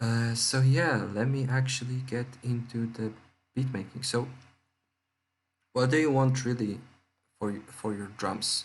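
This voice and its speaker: A man with a medium-pitched voice speaks at a fairly slow pace, leaving long, frequent pauses, with fairly even intonation and audible room echo. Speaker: music producer tutorial youtuber. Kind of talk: tutorial. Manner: hesitant, many fillers; speaking louder and more clearly. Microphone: laptop mic, cutting out, laptop noise.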